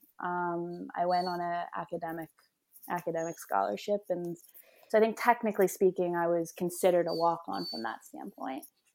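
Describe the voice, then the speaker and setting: Speaking in a Mid-Atlantic US accent, a woman with a fairly low pitch goes at a fairly quick pace. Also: ordinary pitch variation. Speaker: professional soccer player. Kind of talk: interview.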